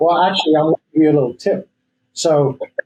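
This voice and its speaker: A man speaks with an English accent. His tone is dark and mellow. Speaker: real estate agent. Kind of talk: podcast interview.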